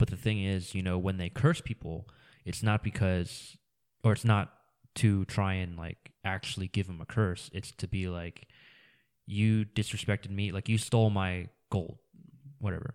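In a plain, everyday voice, a man speaks at a moderate pace with a fairly low pitch and fairly even intonation, in a dry, close sound with no echo. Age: 20s. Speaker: podcast host. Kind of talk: casual chat.

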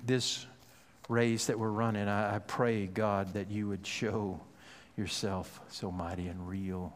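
With audible room echo, a man with a fairly low voice talks at a fairly slow pace. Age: 50s. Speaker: pastor. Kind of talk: sermon.

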